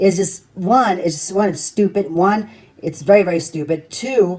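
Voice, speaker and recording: Speaking at a moderate pace, a woman uses an animated tone and a medium pitch with ordinary pitch variation. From New York. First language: not English. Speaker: YouTube commentator. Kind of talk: reaction rant.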